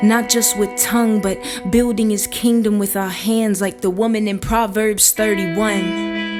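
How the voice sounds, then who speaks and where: A woman's fairly high voice with music in the background. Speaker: spoken word artist. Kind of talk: spoken word poetry performance.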